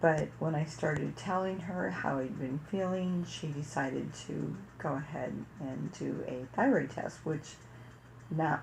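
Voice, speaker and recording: A woman with vocal fry speaks at a fairly slow pace and a very deep, low pitch. Her intonation is lively, and the room echo is audible. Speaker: parenting vlogger. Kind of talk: personal story monologue. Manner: casual.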